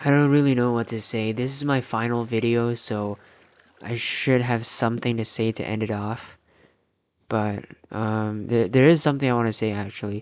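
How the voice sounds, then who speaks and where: A man speaks in a medium pitch. His intonation stays fairly even. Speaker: YouTuber. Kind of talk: personal video diary. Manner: slow; halting, with pauses.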